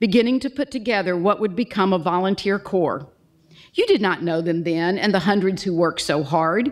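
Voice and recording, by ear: Reading aloud in a natural voice, nothing more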